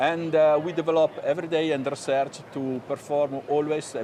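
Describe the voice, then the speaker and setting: Moderate pace in an Italian accent, over noticeable background noise. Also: man. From Italy. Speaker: hair loss company executive. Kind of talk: TV business interview. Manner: halting.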